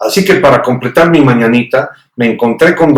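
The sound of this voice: Quiet background behind an unforced reading voice with ordinary pitch variation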